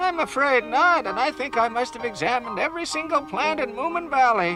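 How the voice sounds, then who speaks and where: A cartoonish character voice talks at a high pitch and fairly quick pace over clear music in the background. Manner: fussy, proper.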